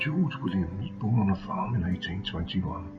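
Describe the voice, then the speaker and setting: Over music in the background, a man whispers, soft-spoken and in a calm tone. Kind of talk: ASMR history talk, whispered educational narration. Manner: whispered, soft-spoken, calm.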